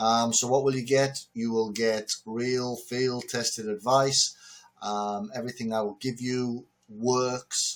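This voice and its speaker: The speaker has a northern English accent. The pace is fairly slow. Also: man. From northern England. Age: 60s. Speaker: entrepreneur and business lecturer. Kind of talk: direct-to-camera talk. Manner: loud; casual with fillers.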